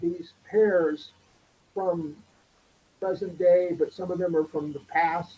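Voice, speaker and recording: At a very slow pace with long, frequent pauses, a man with an American accent speaks in a high-pitched, flat monotone with a dark, mellow tone. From Southern California. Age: 70s. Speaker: artist and musician. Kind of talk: interview. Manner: halting, repeats words.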